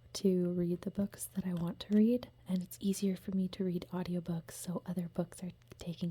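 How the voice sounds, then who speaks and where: A woman speaks fairly slowly and is soft-spoken, somewhat breathy, with a gentle tone. Her medium-pitched voice has a dark, mellow tone. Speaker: ASMR content creator and book reviewer. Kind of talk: casual talk to camera about books. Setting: home setting with a dog running around. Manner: soft-spoken, gentle.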